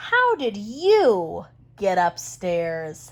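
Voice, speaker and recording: A woman's put-on character voice at medium pitch. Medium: read story.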